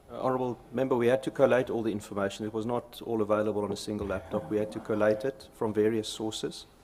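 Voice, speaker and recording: Speaking with a South African accent, a man goes at a very fast pace with hardly any pauses. His fairly low voice keeps a fairly even intonation. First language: Afrikaans. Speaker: company executive testifying. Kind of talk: parliamentary committee testimony. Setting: parliamentary committee hearing. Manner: halting.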